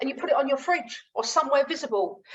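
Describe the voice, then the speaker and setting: Speaking very fast in a southern English accent, a woman uses lively intonation. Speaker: running coach. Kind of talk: webinar sales pitch. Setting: video call. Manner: casual, conversational.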